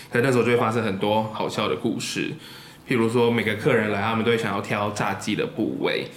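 Through noticeable background noise and audible room echo, a man at a medium pitch talks at a very fast pace with fairly even intonation. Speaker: podcast host. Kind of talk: casual chat.

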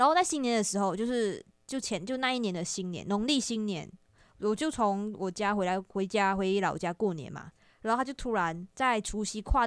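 Fairly high female voice, a plain, everyday voice, with lively intonation at a fairly quick pace on a very clean recording with a silent background. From Malaysia. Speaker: video creator. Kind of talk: casual chat.

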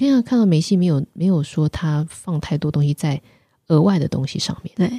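A woman speaks fairly quickly in a dark, mellow tone, fairly low-pitched and somewhat breathy, with lively intonation. The sound is dry and close, with no echo. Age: 50s. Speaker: spiritual author and teacher. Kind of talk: interview.

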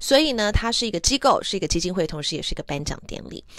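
Lively intonation runs through this woman's speech. She has an English accent. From Taiwan. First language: English (speaking Chinese). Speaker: former news anchor, podcast host. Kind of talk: casual bilingual monologue. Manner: frequent Mandarin-English code-switching.

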